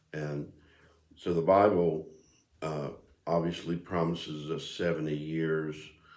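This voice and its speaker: The voice is relaxed and flat, a monotone at a fairly slow pace. Long, frequent pauses break it up, and room echo is audible. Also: man, very deep, low pitch for a man. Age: 60s. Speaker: video blogger. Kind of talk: casual monologue. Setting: home music room. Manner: relaxed, hesitant with fillers.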